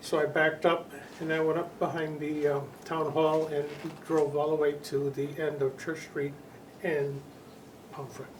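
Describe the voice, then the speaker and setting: Speaking at a moderate pace with long, frequent pauses, a man with a fairly high pitch keeps a monotone, flat intonation amid noticeable background noise and audible room echo. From Connecticut, New England. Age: 80s+. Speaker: flood eyewitness. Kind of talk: oral history interview. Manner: halting, many repetitions and fillers.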